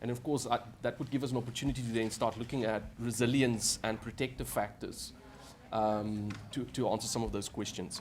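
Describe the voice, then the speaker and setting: With audible room echo, the speech comes at a fairly quick pace in a monotone, flat intonation. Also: man, medium pitch for a man. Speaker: academic researcher. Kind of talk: panel Q&A answer. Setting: conference panel. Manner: hesitant, repetitive.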